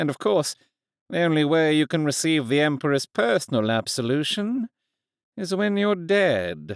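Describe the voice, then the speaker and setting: A put-on character voice with very wide pitch swings, very even loudness and a moderate pace. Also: man, fairly high pitch for a man. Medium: read story. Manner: terse, cold.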